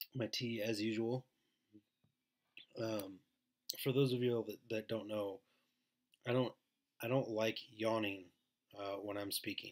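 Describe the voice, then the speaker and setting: Soft-spoken and fairly slow, a man at medium pitch speaks in a monotone, flat intonation with long, frequent pauses. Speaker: network marketer doing live streams. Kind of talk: casual live stream chat. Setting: home live stream, baby sleeping nearby.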